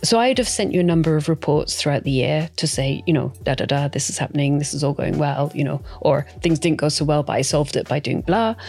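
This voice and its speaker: Very fast and with lively intonation, a woman talks in a very deep, low voice with a Scottish accent. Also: hardly any pauses. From Scotland. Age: 50s. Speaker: property investor. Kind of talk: interview.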